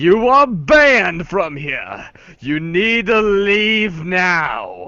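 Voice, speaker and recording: The voice is a put-on character voice. It sits at a middle pitch and goes very slowly. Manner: commanding, intimidating.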